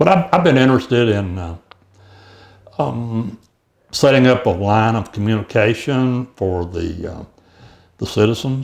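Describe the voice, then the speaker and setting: Lively intonation marks this man's fairly slow delivery, which is broken by long, frequent pauses. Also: medium pitch for a man. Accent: East Texas. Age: 70s. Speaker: mayoral candidate. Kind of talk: interview. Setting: studio. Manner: halting, many fillers and repetitions.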